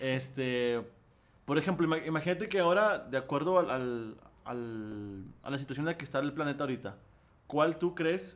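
A man with a normal speaking voice and a fairly high pitch talks at a moderate pace with lively intonation. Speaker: podcast co-host. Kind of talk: casual chat.

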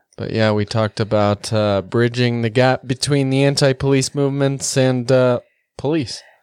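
Close and dry with no echo, a very clean recording with a silent background captures a man with a plain, everyday voice speaking at medium pitch and a moderate pace with fairly even intonation. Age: 20s. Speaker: podcast host. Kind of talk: casual chat. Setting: studio.

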